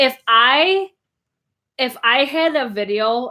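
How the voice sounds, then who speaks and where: A woman speaks in a bright, sharp, animated tone. The recording is very clean, with a silent background. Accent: upstate New York. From upstate New York. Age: 20s. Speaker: beauty YouTuber. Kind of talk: casual livestream chat. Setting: live stream.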